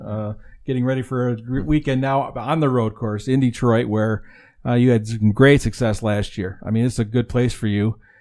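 A man talks at a moderate pace and medium pitch with fairly even intonation and a dark, mellow tone. The recording is very clean, with a silent background. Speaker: motorsports editor and co-host. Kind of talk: interview.

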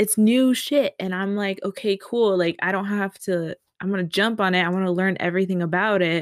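A woman talks at a fairly quick pace in a medium pitch, the sound dry and close with no echo. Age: 20s. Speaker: podcast co-host. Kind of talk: casual chat.

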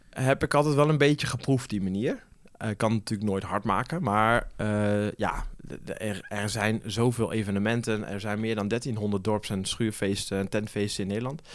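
Pitched fairly low, a man talks at a moderate pace with ordinary pitch variation. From eastern Netherlands (Achterhoek / Zutphen area). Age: 30s. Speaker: event organizer. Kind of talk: interview. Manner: hesitant, many filler sounds.

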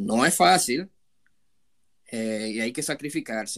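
In a very clean recording with a silent background, a man speaks fairly slowly at medium pitch with ordinary pitch variation. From Dominican Republic, Santo Domingo. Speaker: hospitality professional, immigrant. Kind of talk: interview. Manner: halting, many fillers and repetitions.

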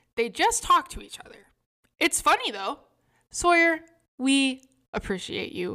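A woman's high-pitched, raised and projected voice with a bright, sharp tone, very wide pitch swings, big swings in loudness and long, frequent pauses. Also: fairly slow pace. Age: 20s. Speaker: podcast co-host. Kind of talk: casual chat.

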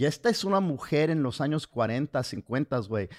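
Lively in intonation, a man speaks at a very slow pace with a fairly high pitch. The recording is very clean, with a silent background. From US, raised by Mexican parents. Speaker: comedian and podcast co-host. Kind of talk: casual chat. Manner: halting, repeats words.

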